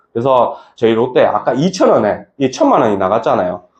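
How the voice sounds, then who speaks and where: A man speaks at a fairly quick pace. His voice has vocal fry. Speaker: insurance branch manager presenting. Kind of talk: presentation to colleagues. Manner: fast.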